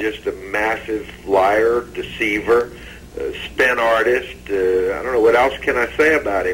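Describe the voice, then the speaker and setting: Over noticeable background noise, a man talks at a fairly slow pace in a medium pitch. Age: 60s. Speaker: investigator. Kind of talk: TV interview. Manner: animated.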